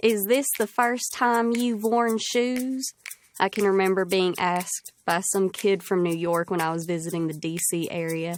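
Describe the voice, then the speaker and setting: A woman at medium pitch in an Appalachian accent, moderately paced with ordinary pitch variation. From Appalachian southeastern Kentucky. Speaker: college student essayist. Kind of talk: reading aloud own essay.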